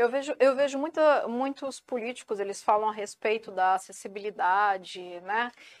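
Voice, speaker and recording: Fairly high in pitch, a woman talks at a moderate pace with lively intonation and big swings in loudness, on a very clean recording with a silent background. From São Paulo coast, Brazil. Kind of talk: interview.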